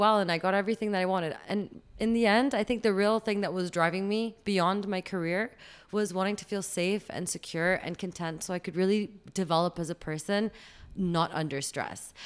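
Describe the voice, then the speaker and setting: Using an unremarkable speaking voice, a woman talks at a moderate pace in a medium pitch. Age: 30s. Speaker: podcast guest. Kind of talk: casual chat.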